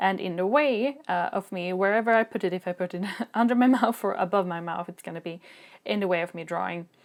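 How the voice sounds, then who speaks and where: With a Swedish accent, a woman speaks at a fairly quick pace and medium pitch with ordinary pitch variation, in a very clean recording with a silent background. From Sweden. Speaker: video creator, drawing tutorials. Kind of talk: product review.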